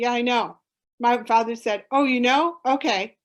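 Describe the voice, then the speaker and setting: With a plain, everyday voice, a woman speaks at a fairly high pitch. Her pace is moderate against a quiet background. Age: 60s. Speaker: conservation educator and summit presenter. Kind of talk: Q&A session at online conference.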